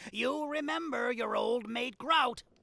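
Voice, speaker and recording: Putting on a character voice, a man speaks at a fairly slow pace in an extremely high pitch, his voice raised and projected. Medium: video game. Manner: friendly, folksy.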